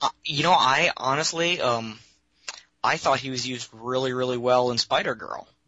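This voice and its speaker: Here a man speaks at a moderate pace with medium pitch and fairly even intonation. His is an unremarkable speaking voice. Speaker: caller, librarian. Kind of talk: call-in conversation. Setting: phone call.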